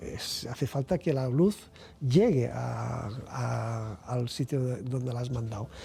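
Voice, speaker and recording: The man's tone is dark and mellow and somewhat breathy, at a medium pitch. He speaks at a very slow pace with ordinary pitch variation. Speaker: physics researcher and professor. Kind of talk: interview. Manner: halting, repetitions.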